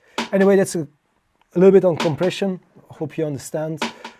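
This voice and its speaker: The speech comes at a very fast pace. It carries a non-native accent. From Belgium. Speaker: music producer. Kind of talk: tutorial. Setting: home studio. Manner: halting, many fillers.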